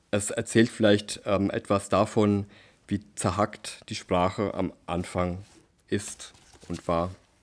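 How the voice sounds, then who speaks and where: A man with a fairly low pitch speaks very slowly, in monotone, flat intonation with long, frequent pauses, on a very clean recording with a silent background. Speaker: novelist. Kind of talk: interview.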